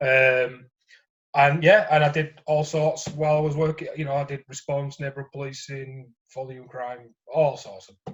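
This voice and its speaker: The speaker is a man with a Yorkshire accent and a fairly high pitch. His voice is somewhat breathy. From Yorkshire, northern England. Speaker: former police officer, gambling support worker. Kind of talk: interview testimony. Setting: phone call. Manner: hesitant with fillers.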